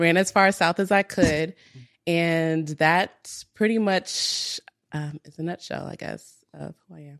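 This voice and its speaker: A woman speaks at a fairly slow pace in a plain, everyday voice, her pitch fairly low. Her intonation stays fairly even, and the sound is dry and close with no echo. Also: big swings in loudness. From US Midwest, Minnesota. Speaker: entrepreneur. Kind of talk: casual chat.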